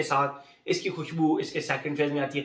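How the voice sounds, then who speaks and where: Background noise is easy to hear. Over it, a man speaks at a moderate speed. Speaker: fragrance reviewer. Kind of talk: product review. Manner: casual, conversational.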